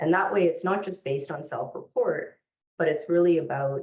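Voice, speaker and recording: A woman's somewhat breathy voice sits at a fairly low pitch, moving at a moderate pace with ordinary pitch variation. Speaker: mental health researcher. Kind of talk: panel discussion.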